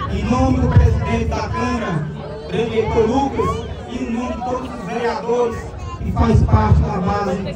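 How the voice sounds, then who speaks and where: Music plays in the background as a man talks at a fairly slow pace amid audible room echo. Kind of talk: public speech of thanks. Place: stadium.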